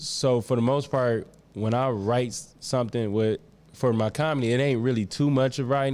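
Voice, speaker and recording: At a fairly quick pace over a quiet background, a man uses an ordinary speaking voice, medium in pitch with ordinary pitch variation. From Atlanta, US South. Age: 30s. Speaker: spoken word poet and comedian. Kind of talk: casual chat.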